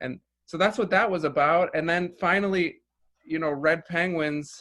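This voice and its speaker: A man speaks with an American accent in a bright, sharp tone. His pitch variation is ordinary. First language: Russian. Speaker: filmmaker. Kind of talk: interview. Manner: halting, many repeated words and fillers.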